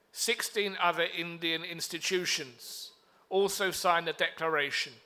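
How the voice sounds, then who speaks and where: This man has a high pitch and a bright, sharp tone with a British accent. He speaks at a moderate pace with fairly even intonation. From UK. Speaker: diplomat. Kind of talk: conference speech. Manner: formal.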